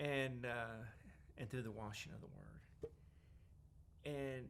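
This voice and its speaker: With a Southern US accent, a man speaks at a fairly slow pace in a bright, sharp tone, his medium pitch showing ordinary variation amid audible room echo. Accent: US South. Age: 60s. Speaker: Salvation Army worker with terminal cancer. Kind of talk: interview testimony. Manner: halting.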